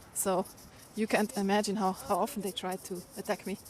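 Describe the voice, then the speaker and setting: A woman speaks with an Austrian accent at a medium pitch. Her intonation is monotone and flat. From Austria, Vienna. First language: German. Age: 40s. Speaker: livestreamer. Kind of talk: casual live-stream chat while walking. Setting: outdoors, walking city streets.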